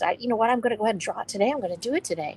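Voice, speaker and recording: The pitch shows ordinary variation. The speaker is a woman. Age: 60s. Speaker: author and stream co-host. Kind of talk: casual discussion on live stream. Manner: halting, with many restarts.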